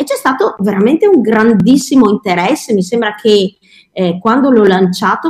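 A woman speaks at a moderate pace in a fairly high, somewhat breathy voice with ordinary pitch variation. The sound is dry and close, with no echo. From Verona, Veneto, Italy. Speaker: children's cooking teacher. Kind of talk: interview.

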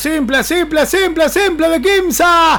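A man speaks at a very slow pace. His pitch varies in an ordinary way, and background noise is noticeable. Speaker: basketball play-by-play commentator. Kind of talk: live sports commentary. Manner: excitable, rising intensity in the final minute.

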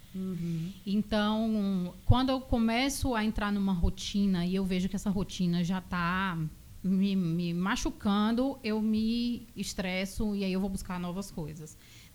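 A woman speaks in an ordinary speaking voice at medium pitch, with ordinary pitch variation. Her pace is fairly slow, with hardly any pauses. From Bahia, Brazil (Vitória da Conquista; born in São Paulo). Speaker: physiotherapist. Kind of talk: radio interview. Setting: radio studio.

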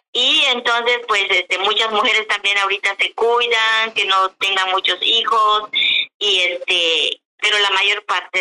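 Here is a woman with a normal speaking voice at a medium pitch. She talks at a fairly slow pace. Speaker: traditional midwife. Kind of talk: interview.

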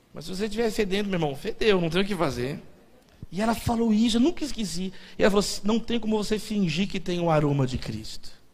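A man at high pitch, very fast pace, and lively intonation, with audible room echo. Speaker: pastor. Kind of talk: sermon. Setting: church.

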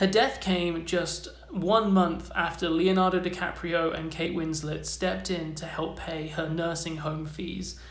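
Delivered at a fairly slow pace with hardly any pauses, the monotone, flat speech sits over noticeable background noise. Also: man, high pitch for a man. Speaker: podcast host. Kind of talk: scripted narration.

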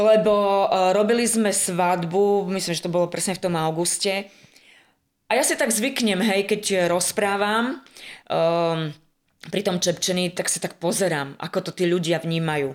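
A woman speaks in a normal speaking voice of medium pitch at a fairly slow pace with ordinary pitch variation. The recording is very clean, with a silent background. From western Slovakia, near Zlaté Moravce. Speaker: art school teacher and wedding folk group leader. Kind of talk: casual chat.

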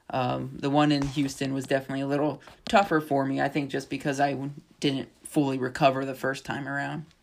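A man speaks at a fairly quick pace with a fairly high pitch and a flat, monotone delivery. The recording is very clean, with a silent background. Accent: American. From northwestern Pennsylvania. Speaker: podcast co-host, fitness studio owner. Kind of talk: casual chat.

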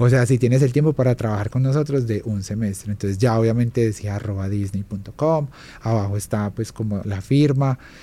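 The recording is very clean, with a silent background. A man talks at a fairly quick pace in a medium pitch, with a dark, mellow tone and ordinary pitch variation. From Colombia, Armenia Quindío (coffee region). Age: 30s. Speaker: illustrator and graphic designer. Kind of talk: interview.

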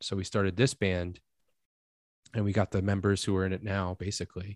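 A man with an unremarkable speaking voice and fairly low pitch talks at a fairly quick pace in a dry, close sound with no echo. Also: quiet background. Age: 30s. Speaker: pop punk band frontman. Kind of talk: casual chat. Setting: video call.

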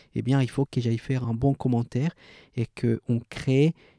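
In a Spanish accent, the speaker's dark, mellow tone comes through at a fairly slow pace with monotone, flat intonation, captured as a very clean recording with a silent background and a dry, close sound with no echo. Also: man. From Colombia. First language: Spanish (speaking French). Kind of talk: interview.

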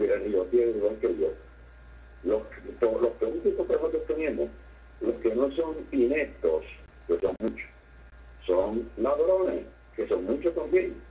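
A man speaks at a very slow pace, with long, frequent pauses. His loudness stays very even. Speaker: caller. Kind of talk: political opinion. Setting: phone call. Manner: halting.

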